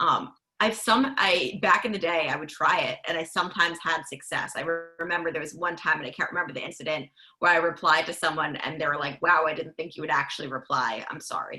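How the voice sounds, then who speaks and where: Over background music, a woman with a fairly low pitch and ordinary pitch variation talks at a very fast pace. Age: young. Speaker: sports reporter and podcaster. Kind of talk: panel discussion.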